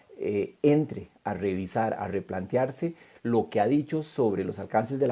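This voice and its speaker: The tone is dark and mellow, the intonation lively, and the pace moderate. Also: man. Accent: Costa Rican. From Costa Rica. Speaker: law lecturer. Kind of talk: lecture. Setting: online live stream.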